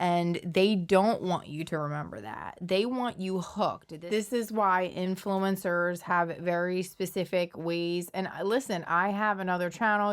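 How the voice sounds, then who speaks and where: A woman speaks at a fairly slow pace with hardly any pauses, her medium-pitched voice keeping a fairly even intonation. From Philadelphia, US. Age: 40s. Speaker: social media commentator. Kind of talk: casual commentary monologue. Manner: conversational, with fillers.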